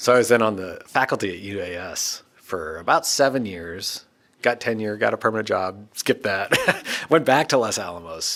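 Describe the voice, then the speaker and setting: A man's fairly low voice at a moderate pace with ordinary pitch variation, a plain, everyday voice. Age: 40s. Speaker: physicist and former professor. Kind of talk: casual conversation interview. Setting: recording booth at a university.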